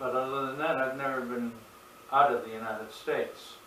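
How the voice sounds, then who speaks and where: A man speaks with an American accent and fairly even intonation. Noticeable background noise and audible room echo are present. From Massachusetts. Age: 70s. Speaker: religious video narrator. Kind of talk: monologue to camera. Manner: halting.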